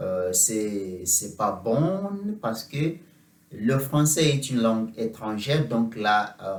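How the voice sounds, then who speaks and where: This man talks at a very slow pace in a medium pitch. He has a non-native accent. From Uganda. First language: not French (speaking French). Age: 30s. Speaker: French teacher. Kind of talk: mock job interview. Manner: halting, many hesitations.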